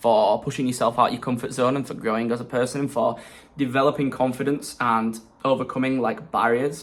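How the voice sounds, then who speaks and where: With an English accent, a man talks at a fairly quick pace in a medium-pitched voice with fairly even intonation. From England. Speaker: self-development vlogger. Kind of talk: casual vlog monologue. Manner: hesitant fillers.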